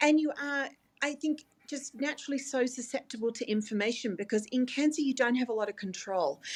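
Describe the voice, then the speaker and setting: A woman with an Australian accent, high-pitched, at a fairly quick pace with ordinary pitch variation. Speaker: dietitian. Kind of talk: interview.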